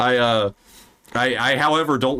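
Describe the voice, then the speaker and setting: A man talks with a slight Southern US accent. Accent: slight Southern drawl. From US South. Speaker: podcast host. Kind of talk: casual chat. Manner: animated.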